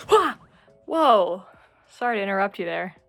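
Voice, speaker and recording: A woman's voice with music in the background. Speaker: YouTuber. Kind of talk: casual vlog chat. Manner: animated.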